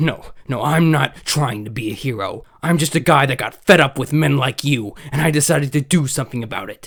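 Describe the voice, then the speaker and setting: A man's put-on character voice, fairly high in pitch, fairly quick with hardly any pauses. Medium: voice reel. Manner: intense, defiant.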